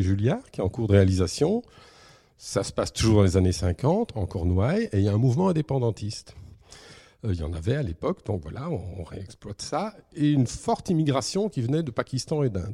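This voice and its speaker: Somewhat breathy and dark, mellow in tone, a man talks at a moderate pace with medium pitch and lively intonation. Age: 50s. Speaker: comic book writer. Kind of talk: interview.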